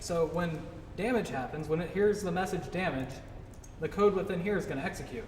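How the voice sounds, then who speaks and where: The speech moves at a fairly quick pace with ordinary pitch variation. Audible room echo and noticeable background noise are present. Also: man. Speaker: game developer giving a talk. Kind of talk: tutorial talk at a meetup. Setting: meetup with live audience. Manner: fast; casual, many fillers.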